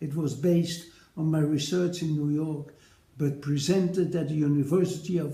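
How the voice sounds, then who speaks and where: A man with a Dutch accent speaks in a fairly high pitch and a flat monotone, with audible echo in the room. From Netherlands. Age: 80s+. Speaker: retired paediatric nephrologist. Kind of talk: recorded personal address to colleagues. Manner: formal.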